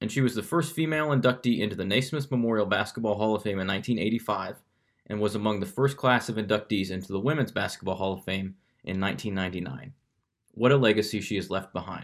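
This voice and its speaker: A man with an American accent has an unremarkable speaking voice, fairly low in pitch with ordinary pitch variation and a fairly quick pace. The recording is very clean, with a silent background. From Kansas City. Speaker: podcast host. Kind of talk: scripted narration; casual interview.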